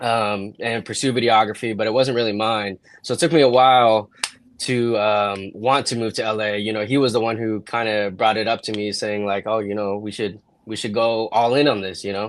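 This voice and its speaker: A man with a West Coast US accent, fairly quick pace and fairly even intonation. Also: fairly low pitch for a man. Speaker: videographer and content creator. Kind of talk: casual chat.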